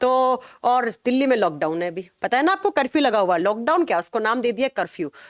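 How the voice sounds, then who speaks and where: A woman speaks in a fairly high voice with very wide pitch swings. The sound is dry and close, with no echo. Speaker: online biology teacher. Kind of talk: live online class. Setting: home studio.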